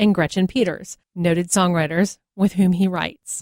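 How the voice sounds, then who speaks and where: Here a woman has an unremarkable speaking voice at medium pitch. She talks at a moderate pace in a dry, close sound with no echo. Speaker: podcast host. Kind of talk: podcast intro.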